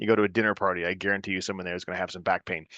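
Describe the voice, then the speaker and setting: A man talks in a fairly low voice with a bright, sharp tone. The sound is dry and close with no echo, and the background is quiet. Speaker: family physician. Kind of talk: lecture. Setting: video call. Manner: fast.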